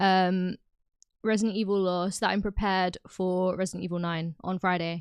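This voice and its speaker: On a very clean recording with a silent background, a woman talks at a medium pitch with a British accent. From UK. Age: 20s. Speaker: gaming streamer. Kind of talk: casual chat. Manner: chatty.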